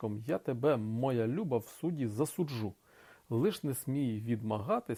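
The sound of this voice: Pitch varies in an ordinary way. The delivery is an unforced reading voice.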